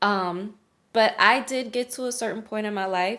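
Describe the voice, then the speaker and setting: A woman's fairly high, bright, sharp voice with an American accent, ordinary pitch variation and a very slow pace, in a very clean recording with a silent background. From US South, New Orleans, Louisiana. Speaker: lifestyle and spiritual coach. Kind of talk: casual vlog talk. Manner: conversational with many fillers.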